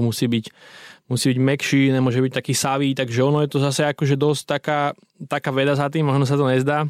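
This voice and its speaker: At a fairly quick pace and medium pitch, a man speaks in a monotone with flat intonation, in a very clean recording with a silent background and a dry, close sound with no echo. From western Slovakia, Myjava region. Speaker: entrepreneur. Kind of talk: interview. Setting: studio.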